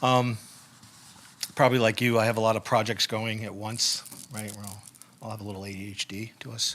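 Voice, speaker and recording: The man's voice sits at a medium pitch and varies normally, with clear background noise throughout. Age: 60s. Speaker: poet. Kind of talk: casual chat. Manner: halting.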